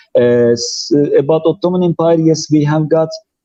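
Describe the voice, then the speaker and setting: A man with a Turkish accent, fairly high in pitch, at a moderate pace. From Turkey, Cappadocia. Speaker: tour guide. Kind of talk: live stream interview. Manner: halting.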